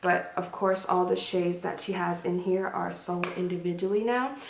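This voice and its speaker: At a moderate pace and with fairly even intonation, a woman at a medium pitch speaks over noticeable background noise and audible room echo. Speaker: beauty vlogger. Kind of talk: casual product review to camera.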